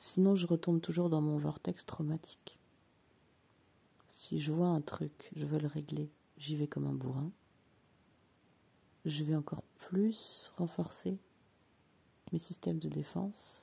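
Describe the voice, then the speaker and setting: A very slow delivery with long, frequent pauses, a calm tone and fairly even intonation. The voice is somewhat breathy, with a dark, mellow tone. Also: woman, very deep, low pitch for a woman. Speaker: personal development coach. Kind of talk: reflective monologue. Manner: slow and calm; hesitant, many filler sounds.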